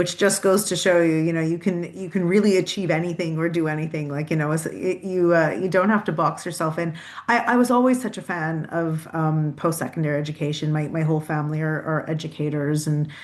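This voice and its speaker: A woman talks with hardly any pauses. Her pitch is fairly low, with ordinary variation. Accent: Canadian. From Canada, Toronto suburbs. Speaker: university president and CEO. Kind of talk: podcast interview. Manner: halting, many repeated words.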